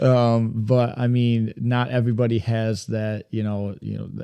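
A man's dark, mellow voice in a Michigan accent, monotone and flat in intonation, against a quiet background. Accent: US Midwest (Michigan). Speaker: podcast co-host, deer hunter. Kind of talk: casual chat.

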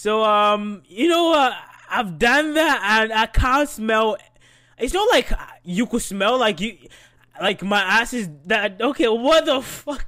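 A man's raised, projected voice carries lively intonation. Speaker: solo podcast host. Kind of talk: casual monologue. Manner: hesitant, many fillers.

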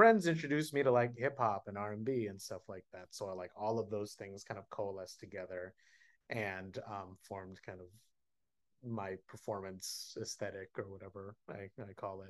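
A man with an American accent has an ordinary speaking voice, fairly low in pitch with ordinary pitch variation. He talks at a moderate pace with big swings in loudness against a quiet background. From Oakland, California. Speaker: stage actor. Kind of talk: interview.

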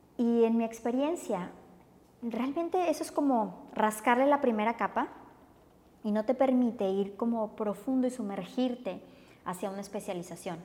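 Here a woman speaks with a Mexican accent. Her fairly high pitch shows ordinary variation. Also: moderate pace. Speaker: yoga teacher. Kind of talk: casual interview.

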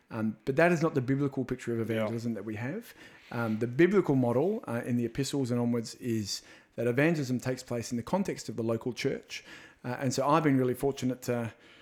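Speaking very fast with an Australian accent, a man uses a medium pitch and ordinary pitch variation. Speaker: evangelism minister. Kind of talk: casual interview chat. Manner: animated, jokey.

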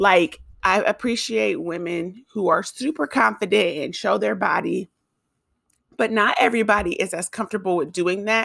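Vocal fry and lively intonation from a woman at a medium pitch for a woman, in a very clean recording with a silent background. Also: moderate pace. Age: 20s. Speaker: podcast host and YouTuber. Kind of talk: casual monologue. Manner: casual, filler-heavy.

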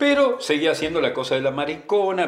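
A man speaks with a Rioplatense accent. Noticeable background noise runs under his voice. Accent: Argentine Rioplatense Spanish. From Argentina, southern Santa Fe (Villa Constitución). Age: 50s. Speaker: oral history interviewee. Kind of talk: personal testimony. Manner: casual conversational.

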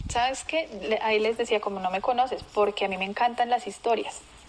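With noticeable background noise, a woman talks at a moderate pace with ordinary pitch variation. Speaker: marketing professional. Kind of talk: interview. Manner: animated.

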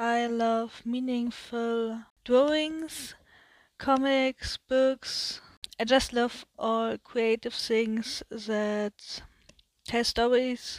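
In a German accent, a woman speaks at a high pitch and a very slow pace, her intonation monotone and flat, with a dry, close sound and no echo. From Germany. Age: 20s. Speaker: podcast host, media designer. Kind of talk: solo podcast introduction. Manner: hesitant, many fillers.

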